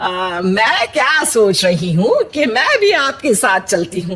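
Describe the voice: Doing a cartoonish character voice, a woman speaks slowly at a medium pitch, with big pitch swings, a fairly bright tone and a slightly husky edge.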